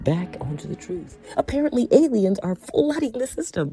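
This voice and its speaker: A woman's animated voice at a moderate pace, with noticeable background noise. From Canada, Scarborough, Ontario, Jamaican roots. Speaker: podcast host. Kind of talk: casual monologue.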